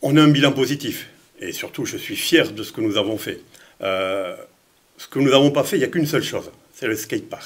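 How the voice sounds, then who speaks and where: A man speaks at a fairly quick pace, with long, frequent pauses and big swings in loudness. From France, Lyon. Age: 60s. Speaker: mayor. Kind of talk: interview. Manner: halting, many repetitions.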